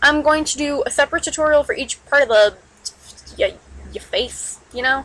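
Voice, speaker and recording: Over noticeable background noise, a woman with a high pitch speaks at a moderate pace in a raised, projected voice. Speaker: digital artist. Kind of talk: drawing tutorial talk. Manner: loud.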